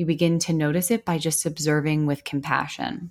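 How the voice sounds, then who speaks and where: A woman speaks in a plain, everyday voice at a fairly low pitch, recorded very cleanly against a silent background. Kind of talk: guided meditation. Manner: slow, soothing, gentle, with calm pauses and deep breaths.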